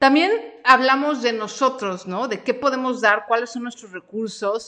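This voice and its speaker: Bright and sharp in tone, the voice moves through ordinary pitch variation. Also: woman. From Mexico. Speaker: podcast host and freelance coach. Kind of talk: live-streamed training session. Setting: home studio live stream.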